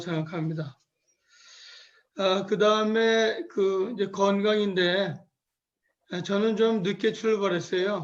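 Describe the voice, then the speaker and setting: A man talks at a very slow pace, his voice high for a man and his intonation fairly even. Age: 70s. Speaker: senior missionary. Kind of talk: testimony. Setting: video call.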